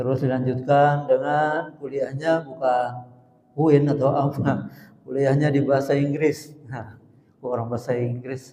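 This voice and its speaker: Speaking in a South Kalimantan accent, a man has a fairly high pitch and a dark, mellow tone. His fairly slow delivery is monotone and flat, with audible room echo. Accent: Banjar. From South Kalimantan (Banjarmasin). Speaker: preacher. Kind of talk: sermon. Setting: mosque.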